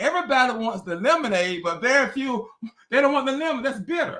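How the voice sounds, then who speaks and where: A man's raised, projected voice at an extremely high pitch, bright and sharp in tone, with lively intonation. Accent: Southern US. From US South, North Carolina. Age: 80s+. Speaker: author and minister. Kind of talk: interview. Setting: video call.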